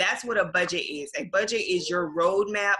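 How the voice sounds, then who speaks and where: A woman speaks in an animated tone. Her pitch is medium. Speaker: personal finance coach. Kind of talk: webinar presentation. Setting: online webinar, screen share. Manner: fast.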